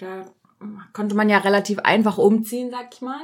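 A woman talks at a moderate pace in a normal speaking voice. Her pitch sits fairly high. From Germany. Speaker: podcast host. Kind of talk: casual chat.

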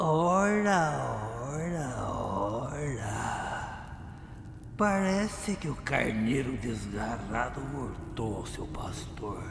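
A man at a medium pitch, talking at a very slow pace against loud background noise. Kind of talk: horror radio-drama acting. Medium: audio drama. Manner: mocking, creeping, sing-song menace.

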